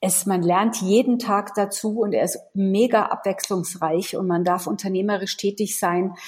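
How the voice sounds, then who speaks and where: A somewhat breathy woman speaks at a fairly slow pace, her intonation fairly even and her speech with hardly any pauses. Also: medium pitch for a woman. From Munich, Bavaria. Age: 40s. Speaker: sales and HR consultant. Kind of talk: interview.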